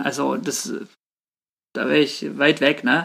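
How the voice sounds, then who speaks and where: A man speaks with vocal fry in a very clean recording over a silent background. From Swabia, southern Germany. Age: 30s. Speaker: pastor. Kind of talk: casual chat.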